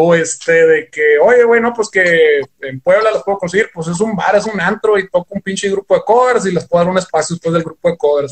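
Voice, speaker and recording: A man with a high voice speaks at a fairly quick pace, his pitch varying in an ordinary way. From Sonora, Mexico (Ciudad Obregón). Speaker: rock guitarist. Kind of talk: casual chat.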